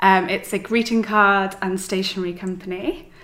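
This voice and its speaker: A woman's bright, sharp voice at medium pitch, with a Welsh accent and ordinary pitch variation. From Wales. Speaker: stationery designer and business owner. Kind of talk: casual interview chat. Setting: in person recording.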